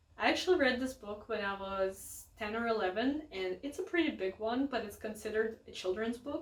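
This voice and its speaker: A woman with a Russian accent speaks at a moderate pace with lively intonation. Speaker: book youtuber. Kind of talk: casual vlog talk to camera. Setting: home, filming with family in the house.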